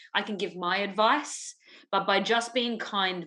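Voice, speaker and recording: A woman speaks with an Australian accent in a bright, sharp tone. Her pitch is medium with ordinary variation, and the background is quiet. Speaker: musical theatre performer. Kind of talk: casual chat.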